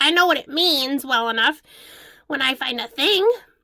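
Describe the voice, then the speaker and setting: A woman performs a put-on character voice, high and raspy. She keeps to a moderate pace. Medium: read story.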